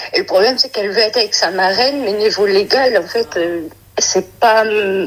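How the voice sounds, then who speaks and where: Noticeable background noise surrounds a woman speaking at a fairly high pitch with ordinary pitch variation. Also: moderate pace. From Brittany, France. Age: 30s. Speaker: caller. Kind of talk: phone-in advice call. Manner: hesitant.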